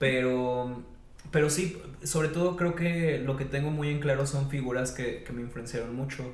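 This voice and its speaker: A man with a Mexican accent, fairly high in pitch, at a moderate pace with fairly even intonation, amid noticeable background noise and audible room echo. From Mexico, Veracruz (Xalapa). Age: 30s. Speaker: teacher of creative writing. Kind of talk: podcast interview. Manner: hesitant, many fillers.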